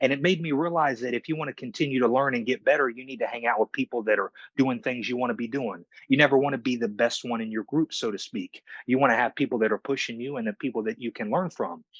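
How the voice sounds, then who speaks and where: This man talks at a very fast pace with ordinary pitch variation. The sound is dry and close, with no echo. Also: medium pitch for a man. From US, partly raised in Cyprus. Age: 30s. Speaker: fitness trainer. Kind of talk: podcast interview, personal story.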